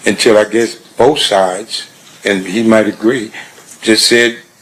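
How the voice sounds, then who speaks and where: Noticeable background noise runs behind the recording. A man speaks at a very slow pace. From Compton, California. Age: 60s. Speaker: trial witness. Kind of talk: courtroom testimony. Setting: courtroom. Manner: halting, repetitive.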